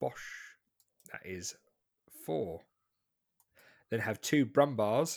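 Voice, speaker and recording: On a very clean recording with a silent background, a man speaks at a very slow pace. He takes long, frequent pauses. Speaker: podcast host. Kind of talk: casual chat.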